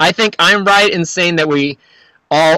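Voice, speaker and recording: A man uses a plain, everyday voice at a fairly quick pace with ordinary pitch variation, the sound dry with no echo over a quiet background. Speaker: musician. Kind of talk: casual chat. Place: home room. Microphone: studio mic.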